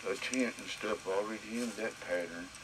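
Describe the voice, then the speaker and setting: A man's fairly slow delivery comes through noticeable background noise. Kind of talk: casual talk to camera.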